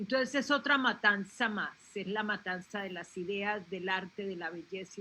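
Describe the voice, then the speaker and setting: This woman has a bright, sharp tone and medium pitch. She talks at a moderate pace with ordinary pitch variation. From Colombia. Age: 70s. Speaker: panelist, relative of a film club founder. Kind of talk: panel discussion. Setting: live video stream.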